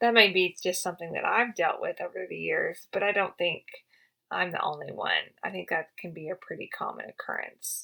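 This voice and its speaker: Talking fairly quickly, a woman speaks with a Southern US accent. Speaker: podcast host, health and wellness practitioner for riders. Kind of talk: educational podcast talk. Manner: casual, with many fillers and repetitions.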